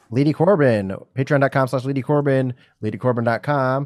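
A man speaks against a quiet background. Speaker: comedian. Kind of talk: casual chat. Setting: video call. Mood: playful, laughing banter. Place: home room. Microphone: studio mic.

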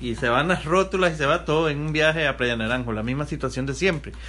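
A man speaks at a fairly quick pace while noticeable background noise carries on in the recording. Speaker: local government official. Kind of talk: interview.

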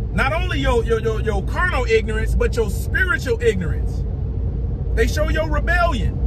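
A man talks at a moderate pace. Noticeable background noise is present. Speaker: religious video preacher. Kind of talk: angry sermon-style rant, scolding and preaching with heated indignation. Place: car. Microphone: phone near.

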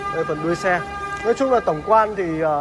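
This is a man speaking. His pace is moderate. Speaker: car dealer vlogger. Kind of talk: commentary. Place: garage. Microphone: phone near.

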